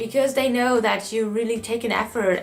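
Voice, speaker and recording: With music in the background, a woman in a German accent speaks at a moderate pace and a fairly high pitch with fairly even intonation. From Germany. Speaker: au pair. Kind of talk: casual talk to camera.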